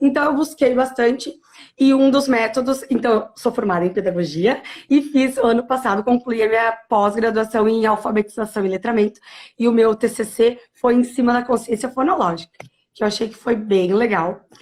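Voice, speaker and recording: This woman has a plain, everyday voice, pitched fairly high, with ordinary pitch variation and a moderate pace. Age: 30s. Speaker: primary school teacher. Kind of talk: interview on teaching practice.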